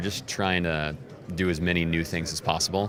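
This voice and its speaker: Over music in the background, a man with a very deep, low pitch and an American accent talks at a moderate pace with fairly even intonation. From United States. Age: 30s. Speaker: radio imaging producer and voice. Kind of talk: interview answer.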